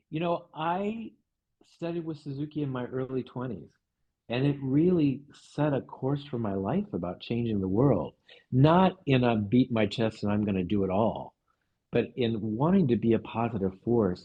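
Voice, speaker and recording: Lively intonation marks this man's speech. His pitch is medium and his pace moderate. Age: 60s. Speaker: music teacher and psychoanalyst. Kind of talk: podcast interview conversation. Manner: halting, with repetitions and fillers.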